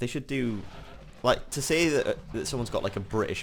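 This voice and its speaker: A man speaks at a fairly quick pace. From northeast England. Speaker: gaming video creator. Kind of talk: gameplay commentary. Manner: casual, thinking aloud.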